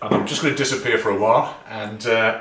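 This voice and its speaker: A man's fairly low-pitched voice with noticeable background noise and audible room echo. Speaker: barbecue youtuber. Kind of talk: cooking tutorial.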